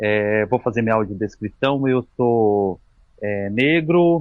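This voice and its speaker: Speaking at a very slow pace, a man uses lively intonation. His pitch is medium. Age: 40s. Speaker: physical educator and mountaineer. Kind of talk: casual chat. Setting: podcast interview.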